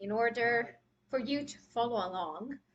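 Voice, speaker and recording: In a non-native accent, a woman speaks with a fairly high pitch. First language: not English. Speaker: makeup artist. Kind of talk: live tutorial. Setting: live stream. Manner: casual, hesitant with fillers.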